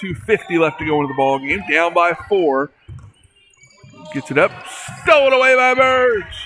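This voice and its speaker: A man with a high voice speaks at a fairly slow pace, his pitch swinging very widely. Long, frequent pauses break his speech, and music plays in the background. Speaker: sports play-by-play announcer. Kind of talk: live commentary. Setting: school gymnasium.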